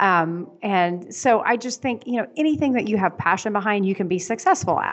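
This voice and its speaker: A woman talks at a moderate pace with hardly any pauses. Her pitch is medium, with ordinary variation. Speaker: podcast guest. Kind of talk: interview. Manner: animated.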